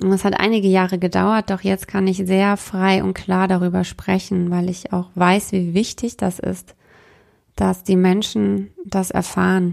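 Her pitch is medium and her intonation monotone and flat. The woman speaks at a fairly slow pace on a very clean recording with a silent background. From Bavaria, Munich. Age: 30s. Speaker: spiritual coach and podcast host. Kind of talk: personal monologue.

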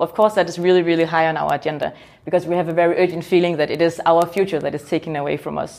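This woman's voice has a fairly low pitch. Its tone is dark and mellow. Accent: Danish. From Denmark. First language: Danish. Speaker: youth political organization leader. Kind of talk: interview.

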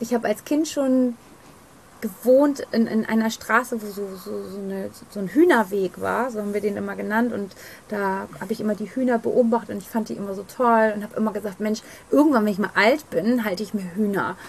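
Over noticeable background noise, a woman with a fairly high voice talks at a fairly quick pace, with ordinary pitch variation and big swings in loudness. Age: 40s. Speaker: psychotherapy practitioner and hypnotherapist. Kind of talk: interview.

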